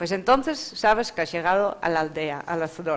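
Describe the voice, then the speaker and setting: A woman talks at a moderate pace with a Dutch accent. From Netherlands. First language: Dutch (speaking Spanish). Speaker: rural arts centre founder. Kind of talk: panel presentation. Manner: hesitant, with fillers.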